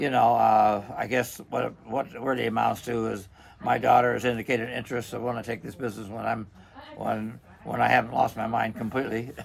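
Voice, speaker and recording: A man talks fairly quickly. Background noise is clearly audible throughout. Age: 80s+. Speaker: vacuum repair shop owner. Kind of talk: casual interview chat. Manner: halting, many repetitions and fillers.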